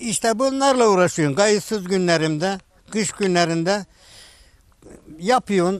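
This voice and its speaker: With lively intonation and a fairly slow pace, a man speaks in dry sound with no echo. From Turkey, Denizli (Çameli). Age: 80s+. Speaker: kaval and sipsi player, instrument maker. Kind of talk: interview answer. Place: garden.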